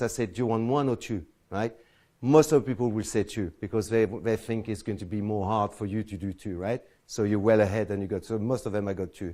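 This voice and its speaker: A man talks at a fairly quick pace in a French accent. His pitch is medium and his tone is dark and mellow. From France. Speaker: close-up magician. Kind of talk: lecture. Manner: halting.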